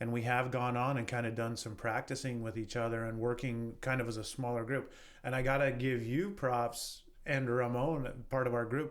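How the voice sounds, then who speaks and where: In a western US accent, a man at a medium pitch speaks at a moderate pace with fairly even intonation, and the room echo is audible. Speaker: real estate entrepreneur. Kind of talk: podcast interview.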